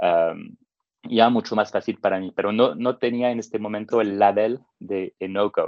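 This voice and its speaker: A man with a medium pitch and fairly even intonation talks at a moderate pace. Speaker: tech entrepreneur, no-code expert. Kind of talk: interview. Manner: hesitant, with many fillers.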